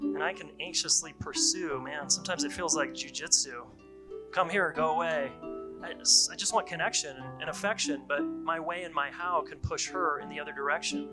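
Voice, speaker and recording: Over music in the background, a man talks at a moderate pace with big swings in loudness. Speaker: relationship coach. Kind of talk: spoken word poetry.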